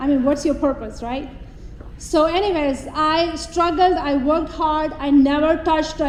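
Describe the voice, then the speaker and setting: A woman with a Pakistani accent speaks at a high pitch and moderate pace, using fairly even intonation. Both audible room echo and noticeable background noise are present. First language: not English (English is her third language). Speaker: police officer. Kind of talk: public speech. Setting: stage with audience.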